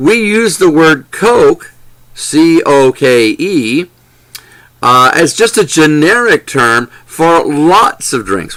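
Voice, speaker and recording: In an American accent, a man speaks very slowly at a fairly high pitch with very wide pitch swings. His tone is bright and sharp, and his loudness stays very even. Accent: Southern accent, toned down in sessions. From US South, Lower Alabama. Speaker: English teaching trainer. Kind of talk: lecture. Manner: deliberate, clear enunciation; hesitant, with repeated words and fillers.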